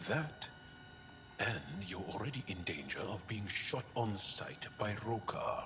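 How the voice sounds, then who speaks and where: Using a put-on character voice at a fairly low pitch, a man speaks against clear background noise. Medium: video game. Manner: earnest, measured.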